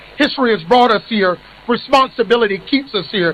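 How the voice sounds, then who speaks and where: A high-pitched man with an American accent and lively intonation, with noticeable background noise. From United States. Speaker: executive director of an advocacy organisation. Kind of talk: ceremonial speech. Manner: formal.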